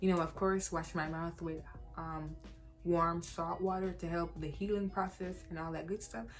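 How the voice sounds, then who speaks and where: Music plays in the background. A woman speaks at a moderate pace. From Jamaica. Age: 20s. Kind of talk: casual talk to camera.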